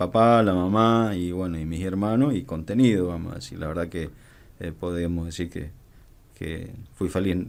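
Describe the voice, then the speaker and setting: At a moderate pace, a man with a very deep, low pitch speaks with ordinary pitch variation and big swings in loudness. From Argentina, Mendoza. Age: 50s. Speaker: border police commander. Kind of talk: radio interview. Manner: halting, many fillers.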